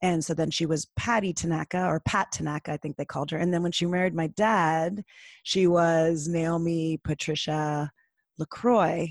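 With fairly low pitch and fairly even intonation, a woman talks at a moderate pace in an ordinary speaking voice, the sound dry and close with no echo on a very clean recording with a silent background. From Canada. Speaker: podcaster and speaker. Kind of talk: interview conversation.

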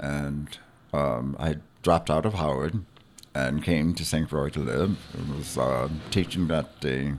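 In an American accent, a man with a very deep, low pitch and vocal fry speaks at a fairly slow pace with ordinary pitch variation. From US Virgin Islands (St. Thomas). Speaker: historian and educator. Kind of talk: interview. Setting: radio studio.

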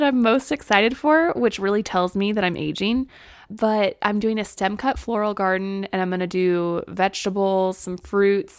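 In a very clean recording with a silent background, a woman speaks with an American accent. She uses a normal speaking voice at a medium pitch and moderate pace, with hardly any pauses. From Springfield, Missouri. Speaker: content creator. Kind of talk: casual chat.

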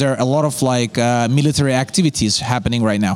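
The talking moves at a very fast pace. Noticeable background noise sits behind it. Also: man. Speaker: freight forwarding company founder. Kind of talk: casual interview chat. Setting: in person at event.

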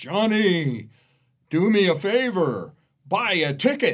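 Putting on a character voice, a man talks at a high pitch and a fairly slow pace. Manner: dry, joking.

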